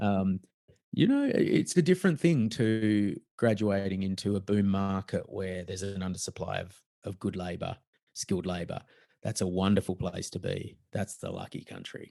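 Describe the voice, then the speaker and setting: Over a quiet background, a man with an Australian accent speaks at a moderate pace with fairly even intonation. His voice is fairly low in pitch, with a dark, mellow tone. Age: middle-aged. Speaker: author and fraud investigator. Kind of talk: casual chat.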